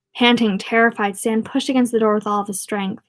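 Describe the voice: A plain reading-aloud voice with fairly even intonation.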